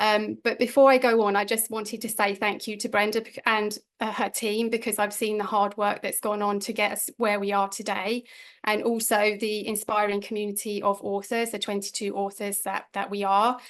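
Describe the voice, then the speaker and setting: A woman with a London accent speaks at a moderate pace, fairly high in pitch. Her intonation is monotone and flat, over a quiet background. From London, England. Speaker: energy healer and life coach, co-author. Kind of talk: online book launch talk.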